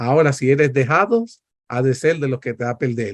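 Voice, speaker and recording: A man speaks in an animated tone. The sound is dry and close with no echo, over a quiet background. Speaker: preacher. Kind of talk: sermon.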